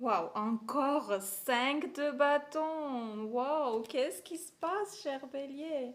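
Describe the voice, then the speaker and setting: A woman in an Armenian accent speaks with ordinary pitch variation. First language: Armenian (speaking French). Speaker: tarot reader. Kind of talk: tarot reading.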